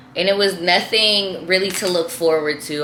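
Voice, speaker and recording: Amid audible room echo and noticeable background noise, a woman speaks at a moderate pace with ordinary pitch variation. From San Francisco Bay Area, California. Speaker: YouTuber. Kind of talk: casual vlog monologue. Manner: animated, repetitive.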